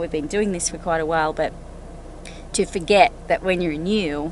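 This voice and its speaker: Over noticeable background noise, a woman with an Australian accent talks at a fairly quick pace in a fairly low voice with ordinary pitch variation. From Australia, Sydney. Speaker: RV travel vlogger. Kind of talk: casual conversation.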